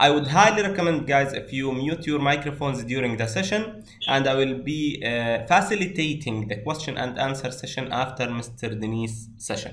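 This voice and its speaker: A man at medium pitch and moderate pace, with lively intonation, noticeable background noise and audible room echo. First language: not English. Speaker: course instructor. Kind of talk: online class introduction.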